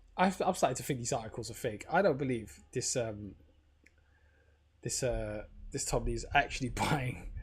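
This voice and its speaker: A man speaks at medium pitch in a somewhat breathy voice with ordinary pitch variation. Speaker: crypto livestreamer. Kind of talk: casual livestream commentary. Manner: fast; hesitant, filler-heavy.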